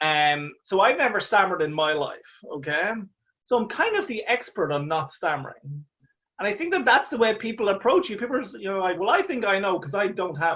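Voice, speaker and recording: Speaking at a fairly quick pace, a man with an Irish accent uses a high pitch and lively intonation. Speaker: stand-up comedian. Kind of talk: interview answer. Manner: stammers.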